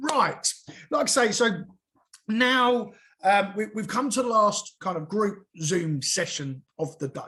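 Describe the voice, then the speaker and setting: Using a raised, projected voice with a bright, sharp tone, a man speaks in a southern English accent at a very slow pace. His pitch is high, and his intonation is lively. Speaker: SEO consultant and webinar trainer. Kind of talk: live webinar presentation. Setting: group video call. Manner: loud; halting, many fillers and restarts.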